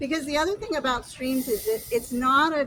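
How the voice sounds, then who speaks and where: A woman's high voice with lively intonation. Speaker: county stormwater restoration official. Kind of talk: outdoor field trip explanation. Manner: quiet.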